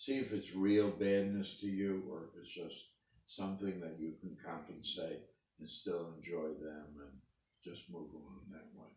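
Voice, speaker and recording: A man's very deep, low voice at a fairly slow pace, with ordinary pitch variation, big swings in loudness and audible room echo. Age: 80s+. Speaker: interviewee, parent of the interviewer. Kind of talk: family interview.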